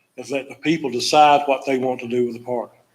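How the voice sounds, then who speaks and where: A man is speaking at a moderate pace. Behind him, there is music in the background. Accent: north Florida. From US South. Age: 70s. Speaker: public commenter. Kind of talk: public comment at a county meeting. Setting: county commission meeting.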